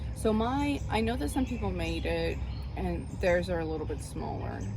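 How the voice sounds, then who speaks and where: A woman talks while noticeable background noise and audible room echo fill the recording. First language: not English. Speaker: knitting vlogger. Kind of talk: casual chat. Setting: outdoors.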